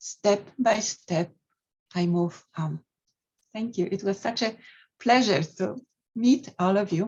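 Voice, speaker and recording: A somewhat breathy woman with a Polish accent, medium pitch, ordinary pitch variation and a very slow pace. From Poland, Mazovia. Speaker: poet and scientist. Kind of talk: poetry reading.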